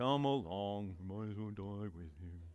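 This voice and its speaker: A man puts on a character voice, speaking at a moderate pace in a deadpan tone with a fairly low pitch. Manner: gloomy, dreary, deadpan.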